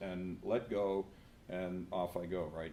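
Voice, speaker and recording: A man with an American accent speaks in a room with audible echo. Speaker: professor. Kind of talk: conference presentation with live software demo.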